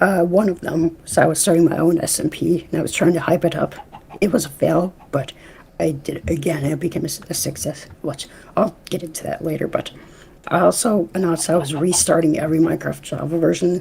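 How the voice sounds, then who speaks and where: The intonation stays fairly even over noticeable background noise. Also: woman, fairly low pitch for a woman, fairly quick pace. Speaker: YouTuber and podcast host. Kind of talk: casual chat. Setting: live stream. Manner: stuttering, halting.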